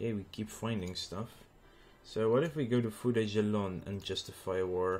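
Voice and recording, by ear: The voice sounds natural. It is reading text aloud.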